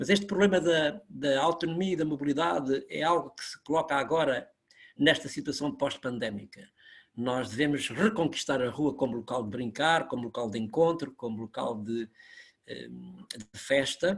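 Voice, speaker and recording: Pitched fairly high, this man speaks at a moderate pace with lively intonation. His loudness swings widely. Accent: European Portuguese. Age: 60s. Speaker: university academic. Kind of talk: webinar talk.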